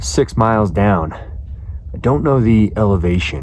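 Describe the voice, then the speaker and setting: A man speaks with lively intonation. Noticeable background noise can be heard. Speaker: fitness vlogger. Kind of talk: casual vlog narration.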